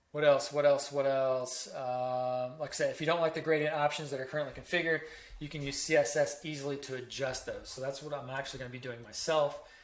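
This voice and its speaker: Amid noticeable background noise, a man with a fairly high pitch rattles along at a very fast pace in a monotone, flat intonation, with big swings in loudness. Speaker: web design tutorial creator. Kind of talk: tutorial. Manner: casual with many fillers.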